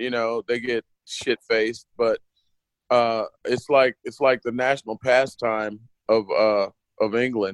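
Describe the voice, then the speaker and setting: A man's normal speaking voice, a normal speaking voice at medium pitch with an American accent, at a fairly slow pace in a dry, close sound with no echo. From United States. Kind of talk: casual chat.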